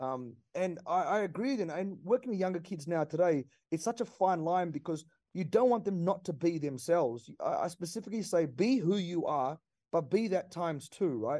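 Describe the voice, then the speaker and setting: A man with an Australian accent speaks fairly quickly, his high-pitched voice carrying a dark, mellow tone and lively intonation. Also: quiet background. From Australia, Perth. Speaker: former Olympic sprinter, athletics pundit. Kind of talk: casual radio sports chat.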